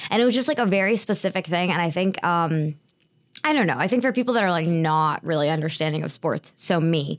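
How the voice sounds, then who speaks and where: In a very clean recording with a silent background, a woman with an ordinary speaking voice talks at a moderate pace and a fairly low pitch for a woman. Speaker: college radio co-host. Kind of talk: casual chat.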